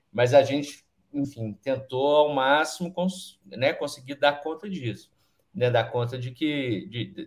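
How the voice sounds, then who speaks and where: The man's voice is somewhat breathy. He talks at a very slow pace. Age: 40s. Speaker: film director and screenwriter. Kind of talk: panel discussion. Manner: halting.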